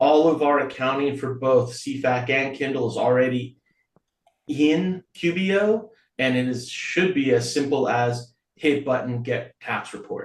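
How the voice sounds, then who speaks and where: Here a man has an unremarkable speaking voice and a fairly high pitch. He talks at a fairly slow pace with ordinary pitch variation. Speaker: nonprofit board member handling finances. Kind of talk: board meeting report.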